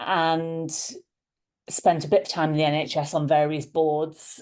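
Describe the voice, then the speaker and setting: A woman with a dark, mellow tone speaks at a fairly low pitch. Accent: Liverpool. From Liverpool, England. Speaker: leadership coach. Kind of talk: interview conversation.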